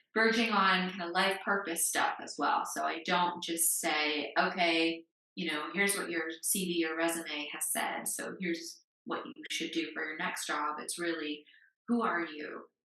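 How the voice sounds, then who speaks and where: In a normal speaking voice, a woman with an American accent speaks at a moderate pace and fairly low pitch, her intonation fairly even. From United States. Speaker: career coach. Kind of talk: podcast interview.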